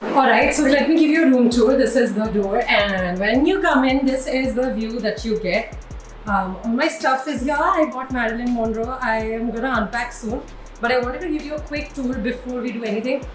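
A high-pitched woman at a moderate pace, with ordinary pitch variation and clear music in the background. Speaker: vlogger. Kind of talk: casual vlog chat. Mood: excited, cheerful. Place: home room. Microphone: phone near.

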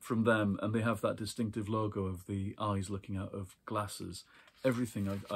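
A natural reading voice, intonation kept fairly even

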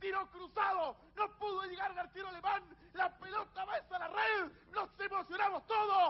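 The man's pitch is extremely high. He speaks in a monotone with flat intonation. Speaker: football radio commentator. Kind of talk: live sports commentary. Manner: exalted goal-call, shouted, rising.

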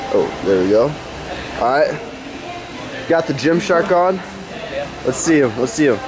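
The speaker talks at a fairly slow pace. Music plays clearly in the background. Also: man. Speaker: fitness coach vlogger. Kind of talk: casual vlog chat. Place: gym. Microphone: phone near.

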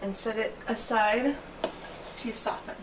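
Woman at a very slow pace over loud background noise. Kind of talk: cooking tutorial. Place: kitchen.

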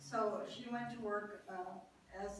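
Audible room echo and light background noise around a woman speaking with ordinary pitch variation. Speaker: World War II shipyard draftsman, park docent. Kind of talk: oral history talk. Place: meeting room. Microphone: camera far.

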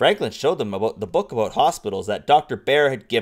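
The plain reading aloud has lively intonation.

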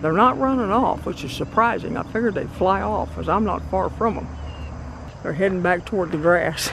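The speech moves at a fairly quick pace. The sound is dry with no echo, and background noise is noticeable. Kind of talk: casual vlog commentary. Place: open country. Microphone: phone near.

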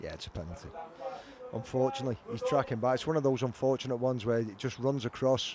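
An excited voice at a very fast pace, with noticeable background noise. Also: man, medium pitch for a man. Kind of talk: live match commentary, co-commentator analysis. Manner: animated, conversational, hesitant with repeated words; partisan, excited about Liverpool.

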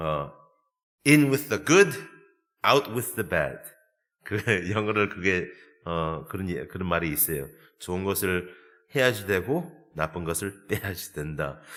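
This man's voice is very deep and low, with very wide pitch swings, delivered at a very slow pace. Long, frequent pauses break up the speech on a very clean recording with a silent background. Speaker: pastor. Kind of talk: sermon. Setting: church. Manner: halting, many fillers.

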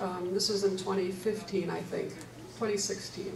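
Over noticeable background noise, a woman with an American accent speaks in a monotone, flat intonation. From US Midwest. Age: 70s. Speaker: retired nurse, panelist. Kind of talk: church adult forum panel discussion. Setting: church. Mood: reflective, candid. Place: hall.

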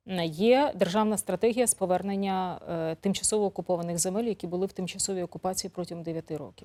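The voice has a dark, mellow tone and ordinary pitch variation at a very fast pace, with a dry, close sound with no echo. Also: woman, medium pitch for a woman. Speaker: TV news presenter. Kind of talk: TV interview. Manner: conversational.

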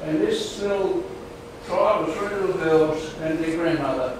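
A man talks at a fairly slow pace amid noticeable background noise and strong room echo. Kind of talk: testimony. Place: hall. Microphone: camera far.

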